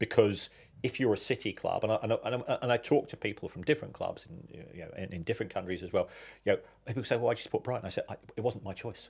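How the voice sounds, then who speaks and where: On a very clean recording with a silent background, a man talks at a very fast pace with big swings in loudness. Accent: English. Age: 60s. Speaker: football finance expert. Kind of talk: podcast interview.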